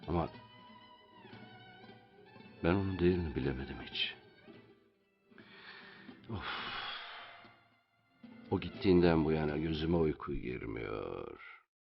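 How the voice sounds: Over faint music in the background, a man puts on a character voice with vocal fry and an extremely low pitch. He speaks slowly with lively intonation and long, frequent pauses.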